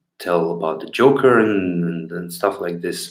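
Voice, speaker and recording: A man with a Bulgarian accent speaks amid audible room echo. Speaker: street clown performer. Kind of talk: live stream Q&A. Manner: loud and clear; halting, many fillers. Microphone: better old sound equipment, favorite microphone.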